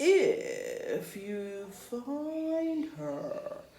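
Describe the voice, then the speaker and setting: A woman's put-on character voice over clear background noise. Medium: read story. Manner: solemn, oracular.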